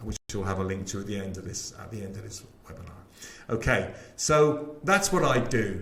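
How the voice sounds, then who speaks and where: A man with a West Country accent at a moderate pace, with audible room echo and noticeable background noise. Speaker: sales trainer. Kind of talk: webinar sales pitch. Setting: live webinar. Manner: animated.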